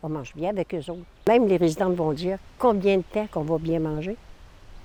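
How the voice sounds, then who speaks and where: A woman with a dark, mellow tone speaks at a medium pitch and moderate pace, with lively intonation. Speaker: seniors' residence resident. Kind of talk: news interview. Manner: halting.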